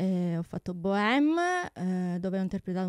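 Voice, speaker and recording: Against a quiet background, a woman speaks at a medium pitch with fairly even intonation, the sound dry with no echo. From Sicily, Tortorici. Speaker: opera soprano and music teacher. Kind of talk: radio interview. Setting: radio studio. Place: studio. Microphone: studio mic.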